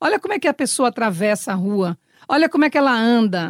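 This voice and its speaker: The sound is dry and close, with no echo, and the words come at a very fast pace. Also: woman. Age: 60s. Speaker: actress. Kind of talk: interview.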